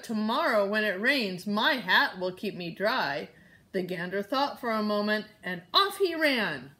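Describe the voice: This is plain reading aloud, delivered with lively intonation.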